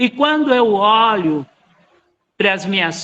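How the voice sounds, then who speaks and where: Very slowly, a man speaks in a raised, projected voice. His tone is bright and sharp, and his intonation lively. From Brazil, Minas Gerais. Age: 60s. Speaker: musician and researcher, lecturer. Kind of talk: lecture.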